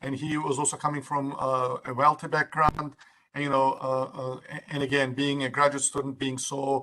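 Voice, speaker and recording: In a strong Turkish accent, a man talks at a moderate pace with a fairly high pitch and a bright, sharp tone. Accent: Turkish accent, thick. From Turkey. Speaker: university administrator. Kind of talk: workshop presentation. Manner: halting, many fillers.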